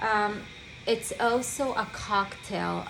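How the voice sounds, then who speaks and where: A woman with a non-native accent speaks over music in the background, with audible room echo. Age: 30s. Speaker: medical esthetician. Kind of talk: product demonstration. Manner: halting, with fillers.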